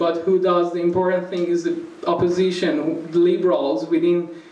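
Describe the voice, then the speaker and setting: Flat, monotone intonation at a fairly slow pace, with audible room echo. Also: man. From Iran. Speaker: conference panellist. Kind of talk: conference panel talk. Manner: halting, many fillers. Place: hall. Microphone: podium.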